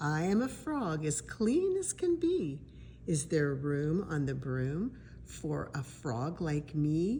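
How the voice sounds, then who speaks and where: A croaky, put-on character voice speaks at a very slow pace. Background noise is clear throughout. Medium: read story.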